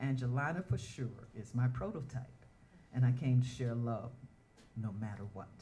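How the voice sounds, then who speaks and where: A woman's very deep, low voice, somewhat breathy, in a Southern US accent, with audible room echo. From US South, Atlanta, Georgia. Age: 70s. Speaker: dancer and performer, award honoree. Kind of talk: spoken word performance and personal testimony.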